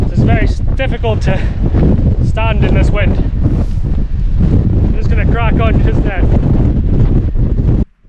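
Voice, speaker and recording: This is a man speaking with a Scottish accent. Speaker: hiking vlogger. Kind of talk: outdoor vlog narration. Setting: outdoors on mountain. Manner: casual; shouting.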